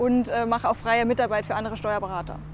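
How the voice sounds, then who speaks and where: A woman talks at a fairly quick pace. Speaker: tax advisor. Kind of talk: casual interview. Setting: on location over lunch.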